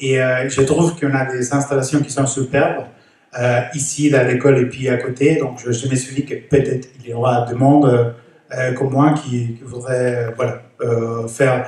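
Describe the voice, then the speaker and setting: This man has a non-native accent and a medium pitch, speaking at a moderate pace. His intonation is monotone and flat, and his voice is somewhat breathy. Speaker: resident speaking at neighbourhood assembly. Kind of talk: public meeting remarks. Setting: neighbourhood centre assembly. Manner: halting, many hesitations.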